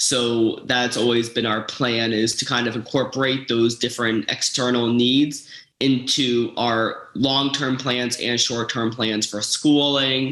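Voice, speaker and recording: A man's medium-pitched voice, flat and monotone, with hardly any pauses over noticeable background noise. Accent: American. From Florida. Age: 20s. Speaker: patient with a rare metabolic disorder. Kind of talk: personal testimony interview. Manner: halting, with fillers and restarts.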